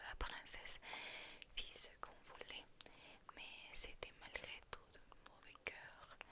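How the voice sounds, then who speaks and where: Over noticeable background noise, a voice whispers at a very slow pace. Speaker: ASMR creator. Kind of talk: fairy tale reading. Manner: soft-spoken.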